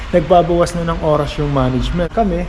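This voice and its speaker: A man talks at a fairly quick pace. Audible room echo and noticeable background noise come through. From Philippines. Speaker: vlogger. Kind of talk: casual vlog storytelling.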